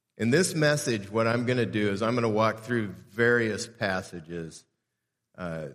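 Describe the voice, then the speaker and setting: A man speaks in an unremarkable speaking voice with an American accent. His pitch is fairly low, with ordinary variation. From Southern California (Southeast LA). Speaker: pastor. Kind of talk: sermon. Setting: church.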